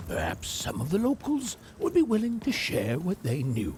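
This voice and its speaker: Amid clear background noise, a man does a put-on character voice at a high pitch. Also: moderate pace. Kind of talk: dark fairy-tale narration. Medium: video game.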